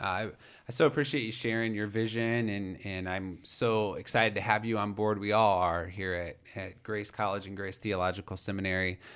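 A man in a plain, everyday voice, fairly low pitched, at a moderate pace with fairly even intonation, on a very clean recording with a silent background. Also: hardly any pauses. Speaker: podcast host. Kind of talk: interview, scripted intro and casual chat.

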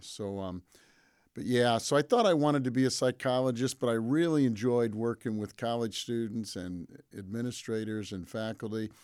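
A plain, everyday voice from a man with an American accent, medium in pitch, at a moderate pace with ordinary pitch variation, on a very clean recording with a silent background. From Michigan, Pontiac. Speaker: college president. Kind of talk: interview. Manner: frequent fillers (um).

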